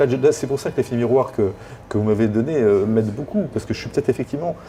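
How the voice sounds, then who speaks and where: Somewhat breathy and dark, mellow in tone, a man at medium pitch speaks at a very fast pace with ordinary pitch variation. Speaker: job seeker, former HR director. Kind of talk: coaching session. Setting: hotel.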